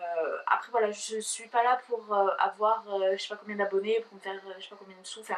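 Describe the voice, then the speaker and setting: Her pace is fairly quick and her pitch fairly high. The woman keeps her intonation fairly even. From southern France. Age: 20s. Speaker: YouTuber. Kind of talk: casual vlog talk to camera. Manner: fast; hesitant, many fillers.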